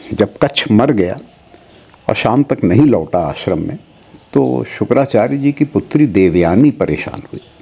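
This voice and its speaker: A man's pitch swings very widely. He speaks at a fairly slow pace. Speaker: guest. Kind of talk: interview answer, storytelling. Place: home room. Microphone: lapel.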